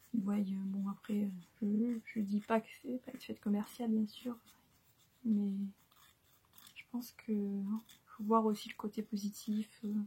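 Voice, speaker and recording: Soft-spoken and somewhat breathy, a woman talks at a very slow pace in a fairly high voice with a dark, mellow tone, monotone, flat intonation, big swings in loudness, and long, frequent pauses. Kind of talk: ASMR soft-spoken chat.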